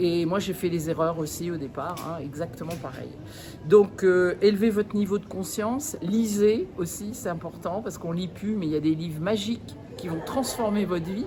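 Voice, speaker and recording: A woman speaks at medium pitch. Noticeable background noise runs underneath. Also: ordinary pitch variation, moderate pace. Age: 60s. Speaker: network marketing distributor. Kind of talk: testimony. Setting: event. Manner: animated; halting.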